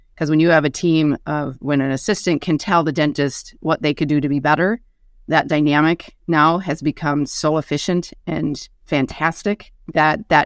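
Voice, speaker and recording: Here a woman speaks with a very deep, low pitch. Her pitch variation is ordinary. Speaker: dental hygienist and practice manager. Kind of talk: casual panel discussion. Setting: video call.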